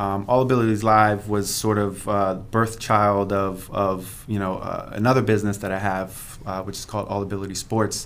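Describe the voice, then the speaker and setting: With hardly any pauses, a man speaks at a moderate pace in a monotone, flat intonation amid audible room echo. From Pennsylvania. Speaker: entrepreneur. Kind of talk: interview.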